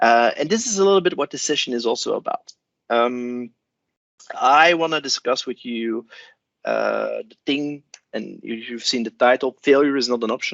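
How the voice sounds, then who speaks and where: The speaker has a Flemish accent, keeps a moderate pace, and swings widely in loudness. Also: man. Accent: Belgian (Flemish) English. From Belgium. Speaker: cloud solution architect. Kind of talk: conference talk. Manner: hesitant, many fillers.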